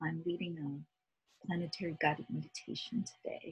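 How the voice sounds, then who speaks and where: A woman with a fairly low pitch talks at a moderate pace in an ordinary speaking voice. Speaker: guided meditation leader. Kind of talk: guided meditation.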